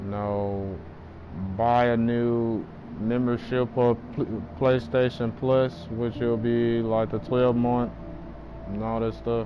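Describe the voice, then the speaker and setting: With music in the background, a man of medium pitch speaks at a very slow pace. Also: fairly even intonation. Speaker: gaming streamer. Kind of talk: live gameplay stream chat.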